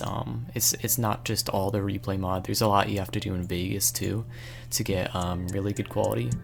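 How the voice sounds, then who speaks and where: With music in the background, a man talks at a fairly quick pace in a fairly low voice that makes very wide pitch swings. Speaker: gaming video creator. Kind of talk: tutorial. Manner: hesitant, many fillers.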